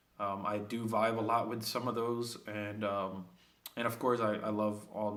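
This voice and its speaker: In a room with audible echo, a man talks at a fairly slow pace in a fairly low pitch, his intonation monotone and flat. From Puerto Rico (Vieques), then New York City. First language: Spanish. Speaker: student. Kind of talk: self-introduction video. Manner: hesitant, many fillers.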